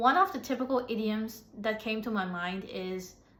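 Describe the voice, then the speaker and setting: Audible room echo surrounds a woman with an American accent. She speaks at a fairly slow pace. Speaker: English teacher. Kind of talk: tutorial. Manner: hesitant, many fillers.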